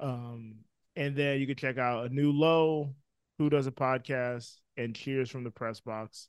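A man talks in a normal speaking voice at medium pitch and a fairly slow pace. His intonation stays fairly even, and the recording is very clean with a silent background. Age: 20s. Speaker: film producer and editor. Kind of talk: casual chat.

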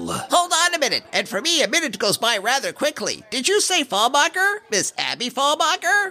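The voice is high-pitched and moves at a moderate pace. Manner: cheerful, salesy.

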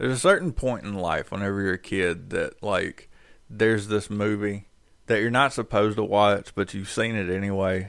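On a very clean recording with a silent background, a man with a North Carolina accent speaks at fairly low pitch and a moderate pace with ordinary pitch variation. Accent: US Southern (North Carolina). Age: 30s. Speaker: podcast co-host. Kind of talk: casual chat.

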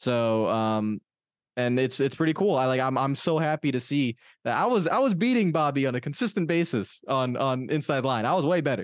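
Here a man speaks with an American accent at a fairly quick pace. His pitch is fairly high, with ordinary pitch variation. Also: very even loudness. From Miami, Florida, US. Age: 20s. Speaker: NASCAR gaming YouTuber. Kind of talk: casual interview chat.

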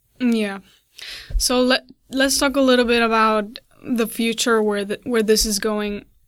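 A woman with a non-native accent at a fairly high pitch and fairly slow pace, with fairly even intonation, long, frequent pauses, and a very clean recording with a silent background. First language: not English. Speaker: interviewer. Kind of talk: casual interview.

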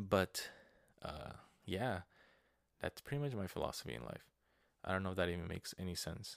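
A man with a very deep, low voice and vocal fry talks at a fairly quick pace with long, frequent pauses, recorded very cleanly against a silent background with a dry, close sound and no echo. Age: 20s. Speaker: podcast host. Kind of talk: casual monologue, personal life update. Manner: casual, filler-heavy with frequent hesitations.

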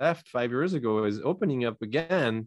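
A man talks at a fairly slow pace with a French accent. His intonation is lively, and the background is quiet. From France. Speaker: entrepreneur and consultant. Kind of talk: interview. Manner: halting, many repetitions.

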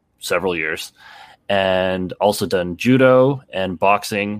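With an unremarkable speaking voice and a Canadian accent, a man with a fairly low pitch speaks with fairly even intonation on a very clean recording with a silent background. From Canada. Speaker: stuntman and martial artist. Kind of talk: casual chat.

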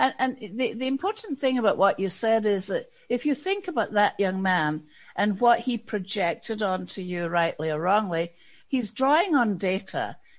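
A woman speaks with a Scottish accent and lively intonation. Her pitch is fairly high, and the background is quiet. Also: moderate pace. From Scotland. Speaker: diversity and inclusion consultant. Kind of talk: interview.

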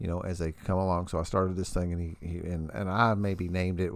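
Very deep, low pitch from a man talking at a very fast pace. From US Midwest (southern Indiana). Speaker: podcast host, recovering addict. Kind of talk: casual chat. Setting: home studio in wood shop. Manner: animated.

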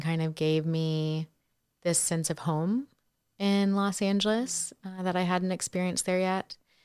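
On a very clean recording with a silent background, a woman with an American accent speaks fairly slowly in an unremarkable speaking voice, pitched fairly low. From North Carolina. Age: 30s. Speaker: therapist and nonprofit founder. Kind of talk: casual interview.

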